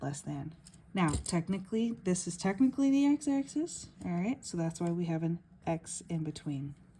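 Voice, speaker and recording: With a fairly low pitch and a dark, mellow tone, a woman speaks somewhat breathily at a moderate pace, her pitch swinging very widely. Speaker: math teacher. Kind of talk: tutorial. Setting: handheld camera while writing.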